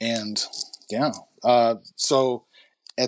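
A man of medium pitch with a Chicago accent. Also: very clean recording, silent background. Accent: Chicago American English. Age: 40s. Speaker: entrepreneur. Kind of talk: interview conversation. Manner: halting.

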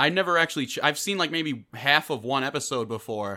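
Fairly quick, lively intonation in a bright, sharp tone, on a very clean recording with a silent background. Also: man. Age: 20s. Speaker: podcast host. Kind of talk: casual chat. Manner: animated.

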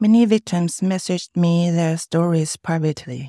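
A woman with a Chinese accent speaks at a fairly low pitch in a dark, mellow tone and at a fairly slow pace. The recording is very clean with a silent background and a dry, close sound with no echo. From Taiwan. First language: Mandarin Chinese. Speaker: filmmaker. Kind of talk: testimony. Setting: studio.

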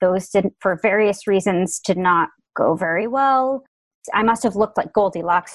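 A woman with an American accent and an ordinary speaking voice talks at a moderate pace and a medium pitch in a dry, close sound with no echo. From Connecticut, Fairfield County. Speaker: writer. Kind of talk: interview.

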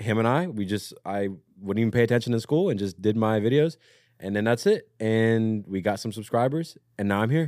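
In a plain, everyday voice with an American accent, the speaker goes at a fairly quick pace with ordinary pitch variation, on a very clean recording with a silent background. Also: man, medium pitch for a man. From Southern Maryland, US. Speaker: content creator and musician. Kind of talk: casual chat.

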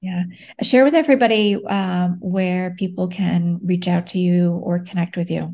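Against a quiet background, a woman speaks at a medium pitch and moderate pace, somewhat breathy with a dark, mellow tone and fairly even intonation. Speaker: podcast host. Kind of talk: interview.

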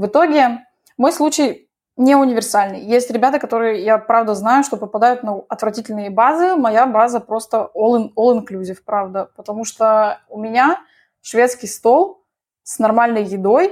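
A woman speaks at a moderate pace in a normal speaking voice, fairly high-pitched, with ordinary pitch variation and big swings in loudness. The recording is very clean, with a silent background. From Moscow, Russia. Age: 20s. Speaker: dentist and soldier. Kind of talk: interview.

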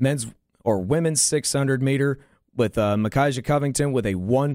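A man with an American accent uses an ordinary speaking voice. He talks at a fairly slow pace in a medium pitch. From western North Carolina mountains. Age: 20s. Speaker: college radio co-host. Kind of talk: sports results reading. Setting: studio.

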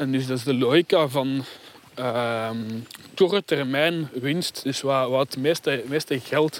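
A man with a Flemish accent speaks at a fairly slow pace and a medium pitch, his pitch varying in an ordinary way, recorded with a dry, close sound and no echo. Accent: Flemish Dutch. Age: young. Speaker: sociologist and philosopher. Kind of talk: casual conversation on a walk. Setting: outdoors, walking.

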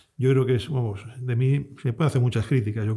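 A somewhat breathy, dark and mellow voice at a fairly quick pace, with fairly even intonation. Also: man. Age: 50s. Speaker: fund manager. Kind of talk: interview.

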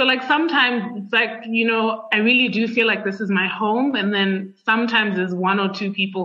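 Against noticeable background noise, a woman speaks fairly quickly at a fairly high pitch, with fairly even intonation and hardly any pauses. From Zambia. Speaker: writer and podcast host. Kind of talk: casual interview conversation. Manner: adaptive, code-switching speech.

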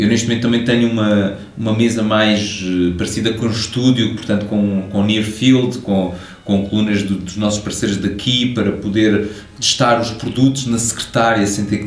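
Monotone, flat delivery at a moderate pace, with audible room echo and noticeable background noise. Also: man. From Portugal. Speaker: hi-fi company co-founder and engineer. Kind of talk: interview.

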